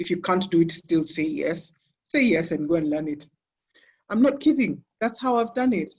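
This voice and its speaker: Here a woman talks at a moderate pace with a fairly low pitch. Her pitch swings very widely, and she takes long, frequent pauses. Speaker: sports business executive. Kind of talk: interview. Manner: loud.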